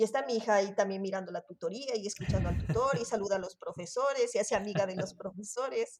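Very fast and with hardly any pauses, a woman talks at a medium pitch with ordinary pitch variation. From Ecuador, Quito. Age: 40s. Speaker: sociology student. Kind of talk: interview. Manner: halting.

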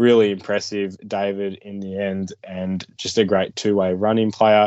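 With an Australian accent, a man talks in a monotone, flat intonation at a fairly low pitch. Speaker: junior football draft podcast co-host. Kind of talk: casual sports analysis chat. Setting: recorded video podcast.

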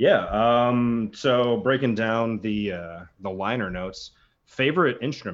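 A man speaks at a fairly slow pace in a plain, everyday voice, with a medium pitch and lively intonation. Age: 30s. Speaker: drummer. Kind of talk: casual chat.

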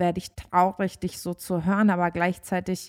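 Here a woman speaks in a plain, everyday voice. Her pitch is medium. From Germany. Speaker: podcast co-host. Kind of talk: casual chat. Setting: remote call.

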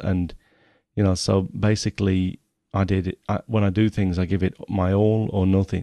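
A man speaks in a fairly low, dark, mellow voice with monotone, flat intonation. The sound is dry and close with no echo against a quiet background. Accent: English Midlands. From England, Nottingham. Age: 40s. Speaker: photography podcaster. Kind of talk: podcast monologue reading from document.

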